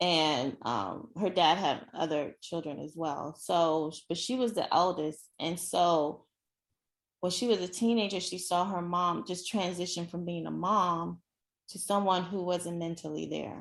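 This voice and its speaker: In a quiet setting, a woman talks at a fairly slow pace with ordinary pitch variation. Hers is a fairly low voice and an unremarkable speaking voice. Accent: American. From Nigeria, then US. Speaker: actress. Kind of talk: interview. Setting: podcast.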